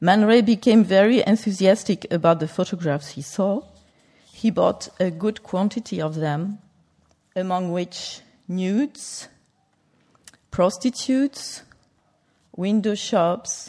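A woman speaks very slowly at a medium pitch, with a dark, mellow tone. Her pitch varies in an ordinary way, and she leaves long, frequent pauses. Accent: French. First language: French. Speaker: museum curator. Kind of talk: lecture. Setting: stage with audience. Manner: halting.

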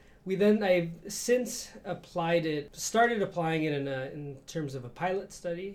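With lively intonation and an American accent, a man talks at a moderate pace in an unremarkable speaking voice. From Chicago, Mexican American neighborhood. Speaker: professor and researcher. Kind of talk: interview.

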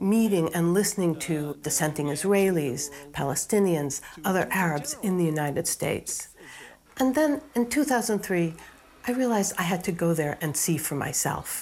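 This woman has an ordinary speaking voice with an American accent, a fairly low pitch, lively intonation and a moderate pace. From US, Boston. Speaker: physician and filmmaker. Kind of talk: scripted narration. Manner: measured, formal.

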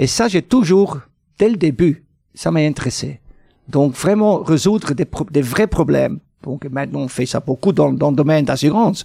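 Speaking at a moderate pace, a man with a dark, mellow tone uses lively intonation in a fairly high pitch. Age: 60s. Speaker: mathematics professor. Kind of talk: interview. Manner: halting, many repetitions and hesitations.

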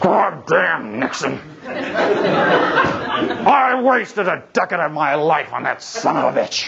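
Someone puts on a gravelly character voice at a middle pitch, speaking very slowly. Loud noise fills the background. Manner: angry, cursing.

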